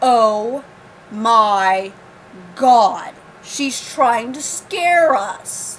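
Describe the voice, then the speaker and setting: A woman uses a put-on character voice. She talks at a very slow pace with long, frequent pauses. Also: fairly high pitch for a woman. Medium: read story. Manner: sarcastic, dismissive.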